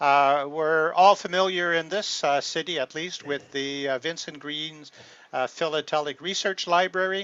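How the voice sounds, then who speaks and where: With a French accent, a man speaks at a fairly high pitch. His pace is fairly slow and his pitch varies in an ordinary way. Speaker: philatelist presenter. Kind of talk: presentation talk. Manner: halting, many filler words.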